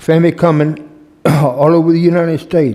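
This man has a Southern US accent. His tone is dark and mellow. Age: 70s. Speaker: retired firefighter. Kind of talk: public comment.

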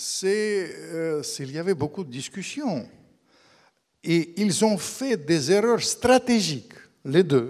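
Against a quiet background, a man with a Russian accent speaks very slowly at a high pitch, his voice swinging very widely. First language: Russian (speaking French). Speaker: author; guest. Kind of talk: public book talk. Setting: stage with audience. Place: hall. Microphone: handheld.

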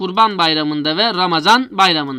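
A man talks with lively intonation. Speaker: Arabic language teacher. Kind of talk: lecture.

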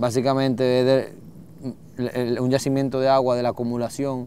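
A man is speaking here. The sound is dry with no echo, and there is light background noise. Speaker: travel show host. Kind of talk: conversational explanation. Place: waterside.

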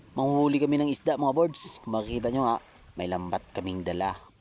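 There is noticeable background noise behind this man. He speaks at a fairly quick pace with lively intonation. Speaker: vlogger. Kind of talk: vlog narration. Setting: outdoors. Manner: casual.

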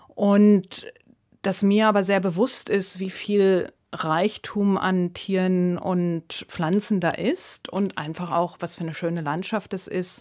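In a very clean recording with a silent background, a woman speaks very slowly in a medium pitch, her intonation flat and monotone. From Namibia, Swakopmund area. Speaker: artist. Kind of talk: radio interview. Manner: hesitant, many filler sounds.

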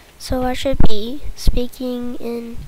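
Her fairly high-pitched voice stays monotone and flat. The recording carries audible room echo and noticeable background noise. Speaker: gaming YouTuber. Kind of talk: gameplay commentary.

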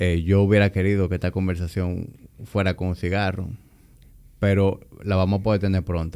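Very deep and low, a man's dark, mellow voice holds a monotone, flat intonation. He keeps a moderate pace with long, frequent pauses. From Dominican Republic. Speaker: podcast host. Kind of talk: interview. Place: studio. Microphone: studio mic.

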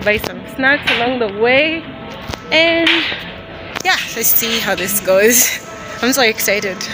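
A woman speaking at a very slow pace, dry sound with no echo, music playing behind her. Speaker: travel vlogger. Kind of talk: casual vlog chat. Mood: excited, smiling. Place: street. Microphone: phone near.

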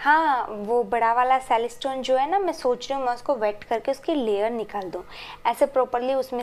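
The speech moves fairly slowly, its intonation lively. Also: woman. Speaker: asmr vlogger. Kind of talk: casual vlog chat. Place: home room. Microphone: lapel.

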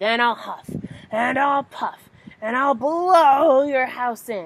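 A put-on character voice, female-sounding, high-pitched for a woman, at a very slow pace. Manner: growling, menacing.

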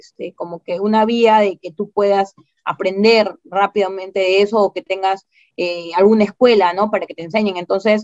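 A woman speaks at a fairly slow pace with fairly even intonation over a quiet background. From Peru. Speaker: parataekwondo coach. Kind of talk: interview answer. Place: home room. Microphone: video call.

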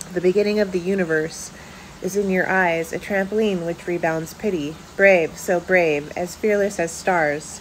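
Light background noise sits behind a woman whose fairly low voice keeps a fairly even intonation. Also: moderate pace. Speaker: poet and author reading own work. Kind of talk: poetry reading aloud. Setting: home video with poor lighting. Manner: measured, intimate spoken-word delivery with pauses. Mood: somber, reflective. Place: home room. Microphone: phone near.

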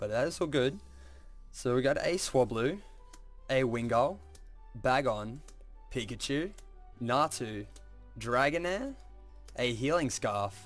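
Over music in the background, a man talks very slowly at a medium pitch, using lively intonation and long, frequent pauses. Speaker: trading card pack opener. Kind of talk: casual talk to camera.

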